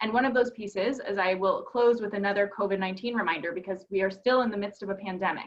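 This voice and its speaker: Talking at a very fast pace, a woman with a Minnesotan accent keeps a medium pitch and fairly even intonation. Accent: Minnesota. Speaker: advocacy organization presenter. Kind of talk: webinar presentation.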